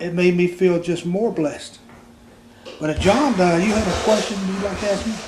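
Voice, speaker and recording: Audible room echo surrounds a man with a high pitch and ordinary pitch variation. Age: 60s. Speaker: grandfather and retired Army veteran. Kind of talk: casual family chat. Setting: family Christmas gathering at home. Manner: halting, with frequent fillers.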